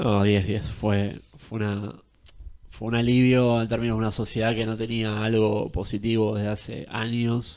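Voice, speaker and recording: Keeping a moderate pace, a man talks with monotone, flat intonation. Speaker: political commentator. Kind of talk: interview.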